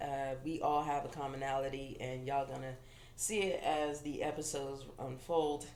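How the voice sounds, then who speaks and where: Noticeable background noise and audible room echo accompany a woman who talks fairly slowly. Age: 30s. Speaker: podcast co-host and comedian. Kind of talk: casual chat.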